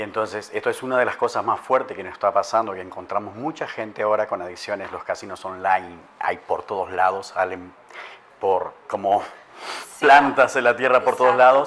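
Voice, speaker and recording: Fairly quick and fairly low in pitch, a man speaks in an unremarkable speaking voice with ordinary pitch variation. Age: 50s. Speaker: life coach and addiction specialist. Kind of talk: interview.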